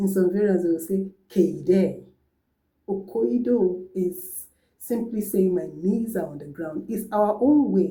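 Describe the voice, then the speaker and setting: A dark, mellow, somewhat breathy voice with ordinary pitch variation. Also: woman. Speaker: language teacher. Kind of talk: tutorial.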